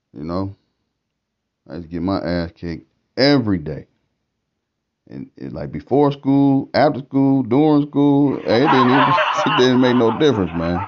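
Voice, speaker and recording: Pausing long and often, a man speaks with very wide pitch swings and big swings in loudness. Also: medium pitch for a man, fairly slow pace. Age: 40s. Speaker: stand-up comedian. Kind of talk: stand-up. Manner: animated.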